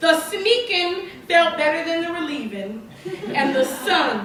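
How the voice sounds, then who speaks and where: Very slowly and with very wide pitch swings, a woman speaks over noticeable background noise. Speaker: poet. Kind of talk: slam poetry performance.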